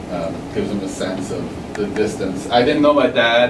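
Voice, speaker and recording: Against noticeable background noise and audible room echo, a man with a medium-pitched voice talks at a moderate pace. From France. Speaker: street artist and carpenter. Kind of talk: school presentation. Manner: halting, many fillers and repeats.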